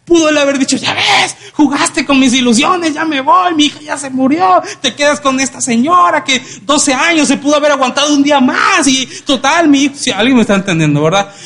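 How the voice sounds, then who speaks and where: An animated man's voice, extremely high in pitch, at a moderate pace. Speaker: preacher. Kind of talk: sermon. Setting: church. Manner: animated, interactive, audience-engaging; colloquial, humorous.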